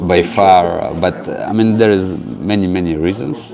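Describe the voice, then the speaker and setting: Noticeable background noise and audible room echo surround a man with a Russian accent, whose very deep, low pitch carries fairly even intonation. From Ukraine, then Israel from age ten. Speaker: spiritual center director. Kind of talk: interview. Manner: hesitant, many fillers.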